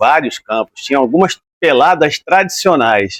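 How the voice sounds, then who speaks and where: With an unremarkable speaking voice, a man talks at a moderate pace in a fairly high pitch, his intonation lively and the sound dry and close with no echo. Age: 60s. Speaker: retired footballer. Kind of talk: interview. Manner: relaxed conversational.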